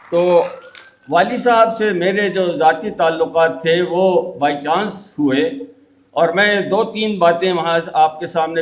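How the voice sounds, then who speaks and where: High-pitched male voice with ordinary pitch variation and audible room echo. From Punjab, Pakistan. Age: 80s+. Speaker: geoscientist. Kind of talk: speech at a ceremony. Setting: stage with audience. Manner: halting.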